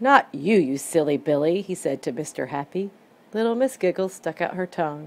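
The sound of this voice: Lively intonation in an unforced reading voice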